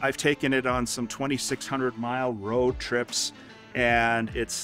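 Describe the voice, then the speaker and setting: Faint music plays in the background as a man talks with fairly even intonation. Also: dry sound with no echo. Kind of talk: garage tour interview talk. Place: street.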